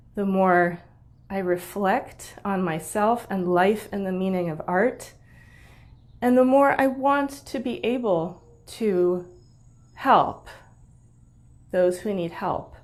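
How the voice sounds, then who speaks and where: A woman with an American accent at a very slow pace, medium pitch and ordinary pitch variation, with long, frequent pauses. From United States. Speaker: musician and Facebook group host. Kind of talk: personal reflective talk. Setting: online live video.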